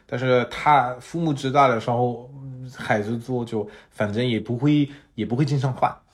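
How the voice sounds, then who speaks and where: A man speaks with a French accent at a medium pitch, somewhat breathy. His pace is moderate. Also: fairly even intonation. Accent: French-accented Mandarin. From France. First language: French (speaking Chinese). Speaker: podcast co-host. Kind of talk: casual chat. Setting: living room at home. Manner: halting.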